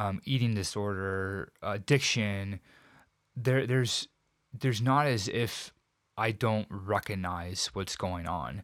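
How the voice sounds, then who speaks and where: A man speaks at a fairly low pitch with ordinary variation. The recording is very clean with a silent background. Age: 40s. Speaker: triathlon coach and suicide survivor. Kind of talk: interview testimony. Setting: studio. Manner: halting, repeats words.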